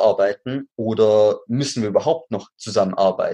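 A man's medium-pitched voice, dark and mellow in tone, with a slight Swabian accent. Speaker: actor and acting coach. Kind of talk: interview.

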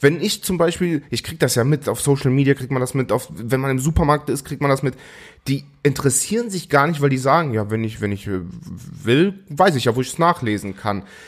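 A man's fairly high voice over music in the background. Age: 20s. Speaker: podcast co-host. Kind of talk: casual chat.

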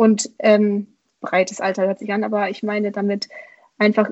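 Somewhat breathy, a woman's voice moves along at a fairly quick pace. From Romania. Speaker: primary school teacher and author. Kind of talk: interview. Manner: hesitant, many fillers.

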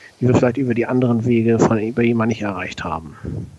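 A man speaks over noticeable background noise. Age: 40s. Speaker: podcast co-host, civil servant. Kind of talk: casual podcast chat.

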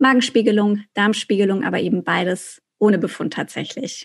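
Somewhat breathy, a woman's voice sits at a fairly high pitch. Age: 30s. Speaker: journalist and podcaster. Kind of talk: interview.

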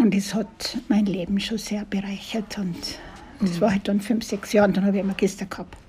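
A woman with a dark, mellow tone and a somewhat breathy sound talks at a moderate pace, her intonation fairly even. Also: medium pitch for a woman. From Austria, Tyrol (Kitzbühel area, rural). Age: 70s. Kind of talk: interview. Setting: restaurant by a lake.

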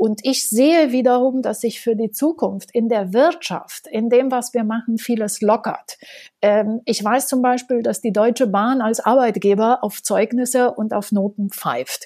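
A woman with a Romanian accent speaks at a fairly slow pace and a fairly high pitch, her tone dark and mellow, with ordinary pitch variation. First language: Romanian and French (speaking German). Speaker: education entrepreneur and author. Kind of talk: interview.

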